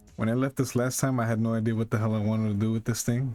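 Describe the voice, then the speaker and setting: Against music in the background, a man speaks quietly at a medium pitch with fairly even intonation. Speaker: digital sculptor streaming. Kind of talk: live stream tutorial.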